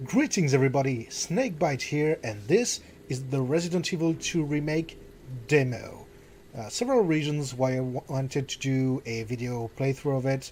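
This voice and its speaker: Somewhat breathy and fairly high in pitch, a man speaks with a French accent at a moderate pace and ordinary pitch variation. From France. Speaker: gaming YouTuber. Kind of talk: let's play commentary. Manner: hesitant, many fillers. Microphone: new microphone being tested.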